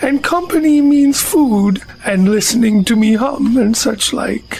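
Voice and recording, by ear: In a put-on character voice, a female-sounding speaker growls at a high pitch and a fairly slow pace.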